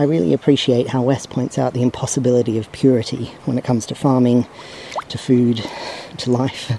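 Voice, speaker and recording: Over noticeable background noise, a man talks fairly quickly at a medium pitch with fairly even intonation. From Australia. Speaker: podcast host. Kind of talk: scripted audio zine presenting.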